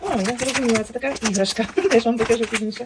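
Against noticeable background noise, a woman speaks in a high voice at a moderate pace. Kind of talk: ASMR unboxing, casual talk. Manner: normal speaking voice, not whispered.

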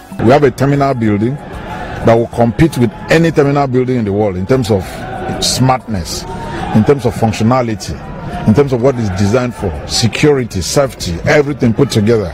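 Delivered at a fairly quick pace with ordinary pitch variation, the voice has a dry sound with no echo and noticeable background noise. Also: man. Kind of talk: press statement to reporters. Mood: proud, assertive. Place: street. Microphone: handheld.

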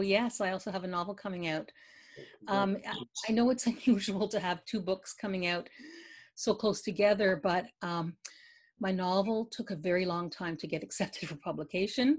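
A woman's voice comes through somewhat breathy over a quiet background. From Eastern Canada, Quebec near Ottawa. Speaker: poet and novelist; poet. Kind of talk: interview. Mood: warm, reflective about grief. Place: home room. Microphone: video call.

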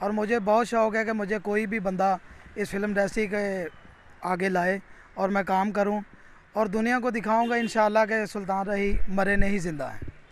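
A man talks at a high pitch and a fairly slow pace, in a monotone with flat intonation. The sound is dry, with no echo. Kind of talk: interview answer. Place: street. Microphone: handheld.

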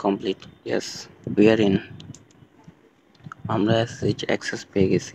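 A man's fairly low voice comes through over noticeable noise in the background. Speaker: tech tutorial creator. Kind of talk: screen-recorded tech tutorial narration. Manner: casual, explanatory.

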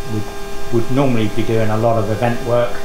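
A man speaks at a moderate pace. Music is heard behind him. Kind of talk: guided tour explanation. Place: workshop. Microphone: camera far.

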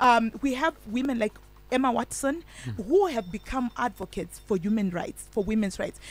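In a Zimbabwean accent, the speaker uses lively intonation and vocal fry, on a dry recording with no echo. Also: woman, fairly high pitch for a woman, moderate pace. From Zimbabwe, Chegutu area. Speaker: women's rights activist; radio guest. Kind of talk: radio interview. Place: studio. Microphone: studio mic.

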